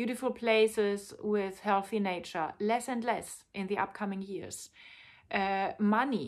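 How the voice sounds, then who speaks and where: A woman with a medium pitch and a non-native accent speaks at a fairly slow pace. Her intonation is monotone and flat, on a very clean recording with a silent background. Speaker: tantra teacher and author. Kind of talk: personal video monologue.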